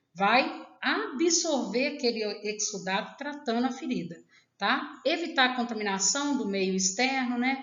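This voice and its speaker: Her voice is high-pitched, with lively intonation and a fairly slow pace. Audible room echo surrounds the woman. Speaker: nursing teacher. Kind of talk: lecture.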